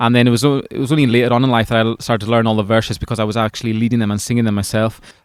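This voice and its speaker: A man with a Hebridean accent at a very fast pace, with hardly any pauses and a monotone, flat intonation. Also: medium pitch for a man. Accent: Hebridean Scottish. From Scotland, Isle of Lewis. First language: Scottish Gaelic. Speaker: folk singer-songwriter. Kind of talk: interview. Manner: halting, repeated words.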